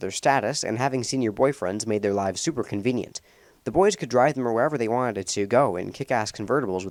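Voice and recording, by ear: Someone reads the text aloud in a natural voice.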